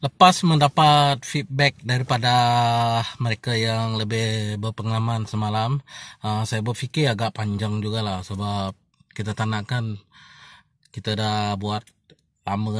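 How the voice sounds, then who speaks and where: A fairly low-pitched man at a fairly slow pace, in a dry sound with no echo and a quiet background. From Sarawak, Bintulu; Sarawak, Malaysia. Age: 30s. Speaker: vlogger. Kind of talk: casual vlog monologue. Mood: reflective, earnest. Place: car. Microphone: phone near.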